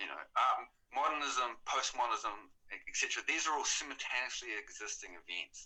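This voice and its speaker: Moderately paced male speech in a New Zealand accent. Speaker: artist. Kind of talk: interview.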